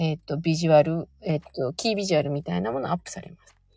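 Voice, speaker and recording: The recording of this woman is dry and close with no echo, her tone dark, mellow and relaxed. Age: 40s. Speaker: stylist and livestream host. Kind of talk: casual livestream chat with listener comments. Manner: relaxed, rambling with frequent fillers.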